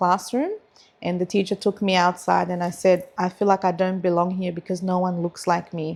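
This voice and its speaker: In a very clean recording with a silent background, a woman with a medium pitch speaks in a flat monotone with an Australian accent. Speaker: lawyer and community advocate. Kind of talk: casual chat.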